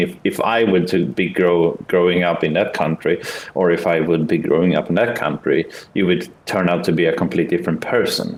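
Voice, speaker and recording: A man with a Swedish accent talks at a fairly quick pace. His voice is very deep and low, with fairly even intonation. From Sweden. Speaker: online game player. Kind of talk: casual debate in game voice chat. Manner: halting.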